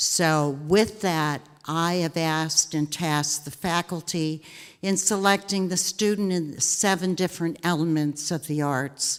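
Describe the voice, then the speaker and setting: At a fairly slow pace, a woman talks in an ordinary speaking voice, her pitch fairly low and her intonation fairly even. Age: 60s. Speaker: arts donor. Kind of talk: ceremony speech. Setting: theater with audience.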